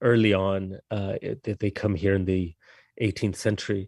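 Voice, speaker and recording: A man speaks with a slight non-native accent against a quiet background. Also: dry, close sound with no echo. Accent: slight foreign. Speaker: novelist. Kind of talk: interview. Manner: halting, many repetitions.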